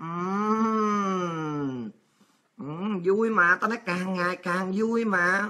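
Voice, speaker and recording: A woman speaks with a bright, sharp tone and lively intonation. The background is quiet. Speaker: show host, political commentator. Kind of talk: political commentary monologue. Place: home room. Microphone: webcam.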